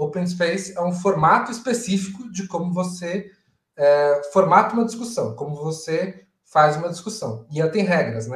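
A man with a high voice, speaking at a moderate pace. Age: 30s. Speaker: agile coach and event organizer. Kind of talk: casual interview on a live stream. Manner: halting, with repeated words.

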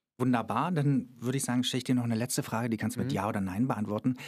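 A man's medium-pitched voice, with ordinary pitch variation, comes through on a very clean recording with a silent background. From Germany, Cottbus (Brandenburg). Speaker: podcast host, actor and author. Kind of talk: casual chat. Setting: studio.

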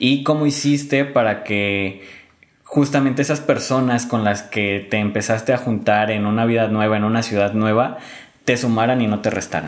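A man speaks at a moderate pace with medium pitch and ordinary pitch variation. Noticeable background noise runs underneath. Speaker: podcast host. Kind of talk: interview chat.

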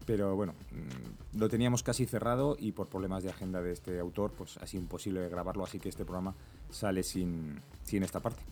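A man's very deep, low voice at a fairly quick pace, ordinary pitch variation, and music in the background. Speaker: podcast host. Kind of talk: casual chat.

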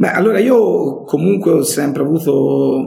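In a Tuscan accent, a man with a fairly high pitch and a dark, mellow tone speaks at a moderate pace with vocal fry. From Tuscany, Italy (Montelupo). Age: 50s. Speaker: entrepreneur. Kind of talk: interview. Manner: emphatic.

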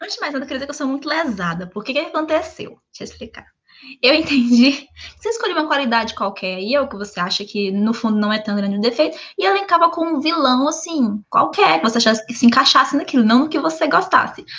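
Her pitch high and swinging very widely, a woman talks at a very fast pace. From Brazil, Minas Gerais. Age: 20s. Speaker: podcast co-host. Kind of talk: casual chat. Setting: video call from home.

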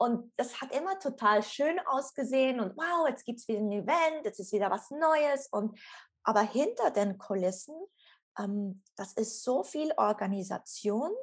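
Her voice high for a woman, she speaks with lively intonation. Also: fairly slow pace. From Switzerland. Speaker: former yoga teacher and coach. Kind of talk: interview, personal story.

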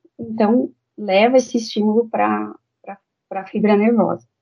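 A woman with a fairly high pitch. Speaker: dentist. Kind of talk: interview. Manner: halting.

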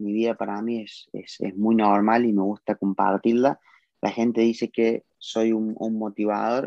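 A man talks fairly slowly at a fairly low pitch. The delivery is monotone and flat. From Argentina, Córdoba. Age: 20s. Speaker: car detailing entrepreneur. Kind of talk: live video interview.

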